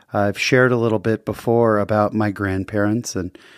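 A man speaks at a moderate pace in a fairly low pitch, with a plain, everyday voice. The recording is very clean, with a silent background. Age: 40s. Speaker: podcast host. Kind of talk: casual interview and solo monologue. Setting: studio.

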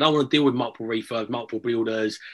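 Against a quiet background, a man with an Essex accent talks in fairly even intonation. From Essex, England. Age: 40s. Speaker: property investor. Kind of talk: casual interview.

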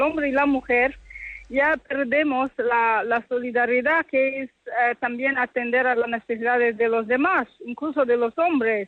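At a fairly slow pace, a woman speaks in a high pitch. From DR Congo. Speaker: university professor. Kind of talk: radio interview. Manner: halting.

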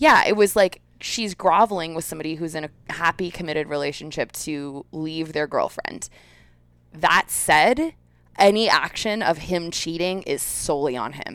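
At a moderate pace, a woman with a fairly low pitch talks in an unremarkable speaking voice, showing ordinary pitch variation and big swings in loudness. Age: 30s. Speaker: podcast co-host. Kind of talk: casual chat.

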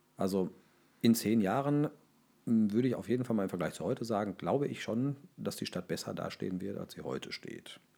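In a very clean recording with a silent background, a dark, mellow voice with vocal fry moves at a fairly quick pace with lively intonation. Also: man. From Ruhr area, Germany. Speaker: local government official for fire and rescue services. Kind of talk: interview.

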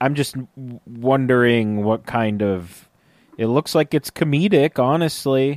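A man with an unremarkable speaking voice talks at a fairly slow pace with ordinary pitch variation, the sound dry and close with no echo. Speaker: podcast host. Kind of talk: casual chat.

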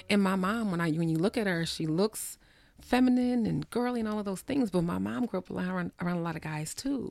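Speaking very fast with lively intonation, a woman with an American accent uses a medium pitch on a very clean recording with a silent background. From US Northeast (New Jersey, then Maryland). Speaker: psychotherapist and author. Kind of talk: casual chat; reading aloud.

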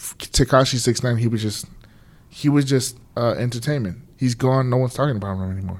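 A man's plain, everyday voice at medium pitch, fairly quick in pace with ordinary pitch variation. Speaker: DJ and podcast co-host. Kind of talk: casual chat.

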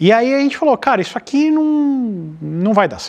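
A man's voice with very wide pitch swings. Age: 30s. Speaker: automotive YouTuber. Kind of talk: casual chat.

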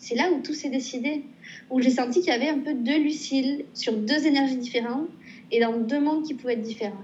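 In a room with audible echo, a woman with a high voice speaks at a fairly quick pace with ordinary pitch variation. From southwestern France, Pau. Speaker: painter and illustrator. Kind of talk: casual interview. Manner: hesitant with repetitions.

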